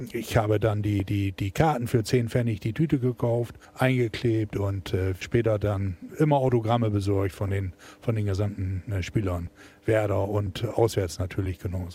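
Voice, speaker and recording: Somewhat breathy and dark, mellow in tone, a man's voice sits fairly low and moves at a moderate pace with ordinary pitch variation. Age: 60s. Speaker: football fan, shipping businessman. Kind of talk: casual interview. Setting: in the stadium.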